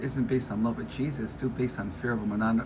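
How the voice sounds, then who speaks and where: A man talks at a very fast pace and medium pitch, with audible room echo in the recording. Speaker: vlogger giving commentary. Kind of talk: casual monologue reacting to an article. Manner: halting, with false starts.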